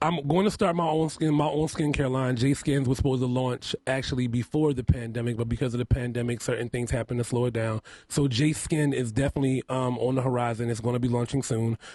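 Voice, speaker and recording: Speaking at a very fast pace with hardly any pauses, the man keeps a fairly even intonation. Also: medium pitch for a man. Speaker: makeup artist and reality show contestant. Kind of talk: radio interview. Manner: heavy enunciation at times.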